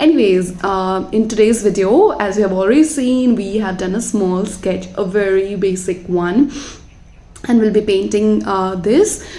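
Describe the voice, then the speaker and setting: A woman's medium-pitched voice with a non-native accent, fairly slow pace and ordinary pitch variation, with audible room echo. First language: not English. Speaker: watercolor artist. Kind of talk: voiceover tutorial chat. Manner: halting, many fillers.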